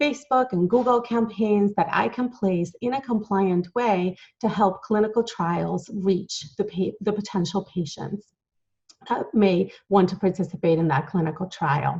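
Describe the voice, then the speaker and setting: A somewhat breathy woman at medium pitch, with ordinary pitch variation and a fairly slow pace. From Latin America. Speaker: entrepreneur and author. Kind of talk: conference talk.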